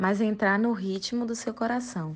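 A woman speaks at a very slow pace, her voice fairly high and somewhat breathy. The background is quiet. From Bahia, Brazil (Salvador). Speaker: book recommender. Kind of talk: recorded book recommendation.

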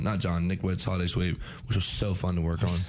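The voice is animated and fairly quick, set against noticeable background noise. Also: man. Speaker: college radio host. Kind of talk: casual chat.

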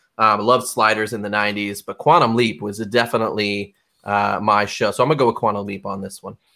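A man with an unremarkable speaking voice talks at a fairly quick pace, pitched fairly low with fairly even intonation and big swings in loudness. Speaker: podcast host. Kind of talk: casual chat. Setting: live stream with online viewers.

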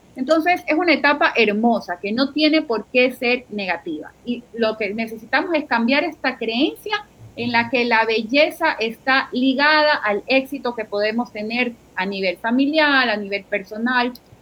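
A high-pitched woman's voice, lively in intonation, at a fairly slow pace with hardly any pauses, over noticeable background noise. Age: 40s. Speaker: psychologist. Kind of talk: interview.

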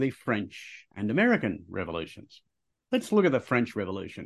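Against a quiet background, a man talks in an Australian accent. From Australia, Queensland. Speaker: history podcast co-host. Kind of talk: casual educational chat.

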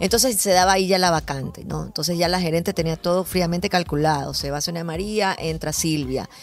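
A woman with a fairly low voice talks at a fairly quick pace, hardly pausing, with ordinary pitch variation over noticeable background noise. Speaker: TV presenter and voice-over artist. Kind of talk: interview. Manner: hesitant fillers.

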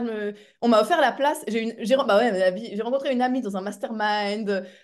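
This woman has a fairly high voice and ordinary pitch variation. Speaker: speaker and coach. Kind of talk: casual interview chat. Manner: fast.

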